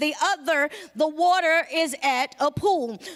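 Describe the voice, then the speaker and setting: A woman's high voice in a Georgia accent, with music in the background. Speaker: pastor. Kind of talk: sermon.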